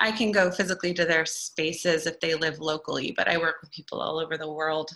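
A woman with a West Coast US accent speaks in a bright, sharp tone. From US Pacific Northwest, Oregon (Eugene). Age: 30s. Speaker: painter and art teacher. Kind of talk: interview monologue. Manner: enthusiastic.

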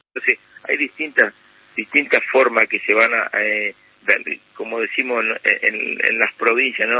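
Male speech at a moderate pace against noticeable background noise. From Argentina, Chaco province. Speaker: business association president. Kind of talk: radio interview. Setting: phone call.

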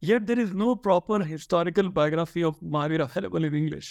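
Here a man with an Indian accent talks at a very fast pace. His pitch is fairly high, with ordinary pitch variation. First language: Hindi. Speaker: religious studies scholar, author. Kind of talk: interview. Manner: halting.

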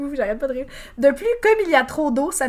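A woman with a Bas-Saint-Laurent Quebec accent speaks at a fairly quick pace in a high voice with lively intonation. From Quebec, Bas-Saint-Laurent. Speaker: podcast host, quiz presenter. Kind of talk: game show hosting, reading reviews aloud. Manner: laughing often.

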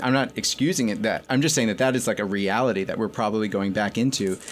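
With an American accent, a man with a plain, everyday voice speaks at a medium pitch with ordinary pitch variation. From New York, with teen years in Connecticut. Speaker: magazine editor. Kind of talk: interview. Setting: radio studio.

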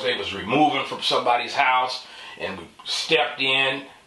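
A man talks at a fairly slow pace with a medium pitch. There is audible room echo and noticeable background noise. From San Francisco. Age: 50s. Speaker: interview guest sharing life story. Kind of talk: casual interview, personal testimony. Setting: studio on camera.

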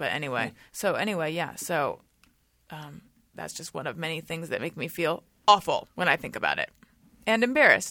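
On a very clean recording with a silent background, a woman with a fairly low pitch and a bright, sharp tone talks at a fairly quick pace with lively intonation, big swings in loudness and long, frequent pauses. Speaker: podcast host. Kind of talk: casual chat. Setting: studio. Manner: animated, chatty.

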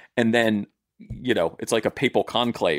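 A man with an American accent talks at a fairly quick pace. His is a plain, everyday voice. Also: dry, close sound with no echo. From US South, southern Maryland. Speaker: TV writer and producer. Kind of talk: casual chat.

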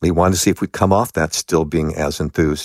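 With an American accent and vocal fry, a man talks at a fairly quick pace in a very deep, low pitch. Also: dry, close sound with no echo. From Los Angeles, US. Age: 60s. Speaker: author and long-distance hiker. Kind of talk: interview storytelling. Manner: animated.

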